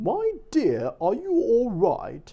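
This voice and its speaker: A man speaks in a put-on character voice. His pitch sits extremely high. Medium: read story.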